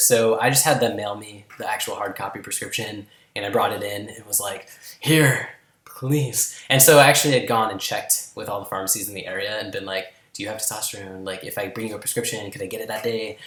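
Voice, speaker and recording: A man with a medium pitch and ordinary pitch variation speaks at a very fast pace, his loudness swinging widely over noticeable background noise. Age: 20s. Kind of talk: casual vlog talk to camera.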